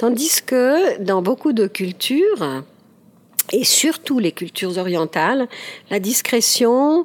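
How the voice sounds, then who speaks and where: Speaking at a very slow pace, a woman lets her pitch swing very widely. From Ticino, Switzerland. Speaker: speech therapist and author. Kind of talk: interview. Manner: halting, many hesitations.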